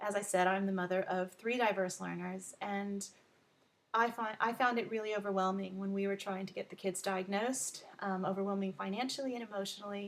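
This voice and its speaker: A woman speaks at a fairly quick pace in a medium pitch. Her intonation stays fairly even. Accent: American. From Texas. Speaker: learning advocate and tutor. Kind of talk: self-introduction video. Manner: frequent filler ums.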